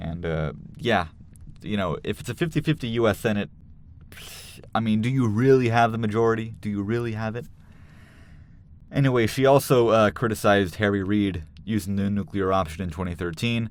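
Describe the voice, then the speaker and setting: A man mumbles at a fairly quick pace in a fairly low pitch, with ordinary pitch variation and long, frequent pauses. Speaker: political commentator. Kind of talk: casual commentary. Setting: studio. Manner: mumbling; halting, many fillers.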